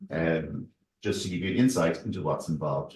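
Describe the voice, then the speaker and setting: A man with an Irish accent speaks in a somewhat breathy voice. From Ireland. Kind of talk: seminar presentation. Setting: university seminar room with audience.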